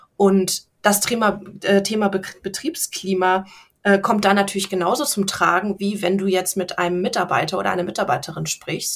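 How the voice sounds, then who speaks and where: A woman's ordinary speaking voice at a medium pitch and a moderate pace, with fairly even intonation. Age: 30s. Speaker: business coach. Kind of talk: interview.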